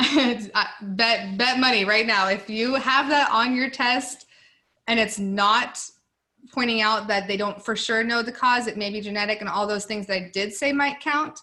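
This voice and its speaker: A woman's fairly high, bright, sharp voice at a moderate pace with fairly even intonation. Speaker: nursing student tutor. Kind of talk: tutoring session. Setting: video call. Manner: mumbling.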